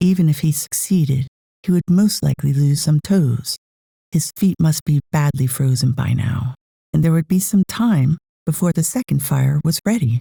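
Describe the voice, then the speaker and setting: In an American accent, a somewhat breathy voice with a dark, mellow tone moves through lively intonation at very even loudness. The sound is dry and close, with no echo. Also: woman, very deep, low pitch for a woman, moderate pace. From United States. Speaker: audiobook narrator. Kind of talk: audiobook reading. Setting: home studio.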